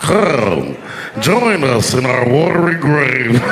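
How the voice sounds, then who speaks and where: Putting on a character voice, a man speaks at a very slow pace and medium pitch against clear background noise. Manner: eerie, ghostly.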